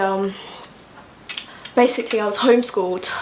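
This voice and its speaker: Someone with an East Midlands accent talks at a fairly quick pace, with audible room echo and noticeable background noise. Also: woman. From England, East Midlands (Kettering). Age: 20s. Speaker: digital creator. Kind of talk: casual chat. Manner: energetic.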